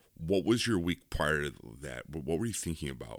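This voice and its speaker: A man talks at a fairly quick pace. His very deep, low voice carries vocal fry. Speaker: podcast host. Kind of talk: casual chat. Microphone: new microphone.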